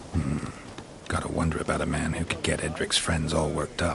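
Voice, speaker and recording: Over clear background noise, a man uses a put-on character voice with a very deep, low pitch at a fairly quick pace. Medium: game stream. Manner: terse, deadpan.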